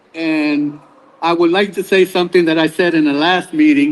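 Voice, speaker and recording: Amid noticeable background noise, a man in a New York accent talks at a moderate pace with a high pitch and ordinary pitch variation. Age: 70s. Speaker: public commenter. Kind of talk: public hearing testimony. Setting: public hearing.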